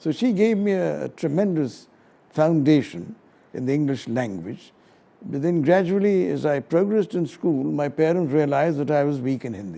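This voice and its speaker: At a moderate pace, a dark, mellow voice rises and falls in very wide pitch swings. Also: man, fairly high pitch for a man. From India, Delhi. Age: 70s. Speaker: senior lawyer. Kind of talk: interview. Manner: measured, with frequent fillers.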